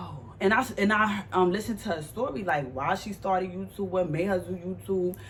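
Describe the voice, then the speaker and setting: With an American accent, a woman talks at a moderate pace. Her medium pitch shows ordinary variation. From New York, Harlem. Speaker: vlogger. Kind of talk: casual Q&A vlog. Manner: animated.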